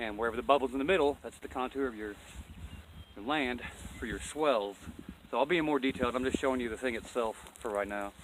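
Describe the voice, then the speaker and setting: Talking at a very fast pace yet with long, frequent pauses, a man speaks at medium pitch with ordinary pitch variation. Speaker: off-grid homesteader vlogger. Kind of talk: casual outdoor tutorial. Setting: outdoors on a mountain. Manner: casual, rambling, self-correcting.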